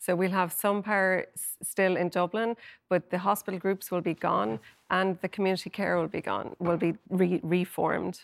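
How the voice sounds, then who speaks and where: In an Irish accent, the speaker moves at a moderate pace with fairly even intonation and big swings in loudness, on a very clean recording with a silent background and a dry, close sound with no echo. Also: woman, medium pitch for a woman. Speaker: health correspondent. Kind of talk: TV panel discussion. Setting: studio.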